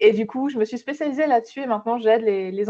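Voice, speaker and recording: With a slight Swiss French accent, a woman speaks in a dark, mellow tone with ordinary pitch variation against a quiet background. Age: 30s. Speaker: social media entrepreneur. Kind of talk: podcast interview. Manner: hesitant, many fillers.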